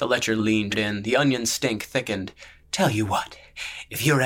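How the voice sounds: Reading in a natural voice.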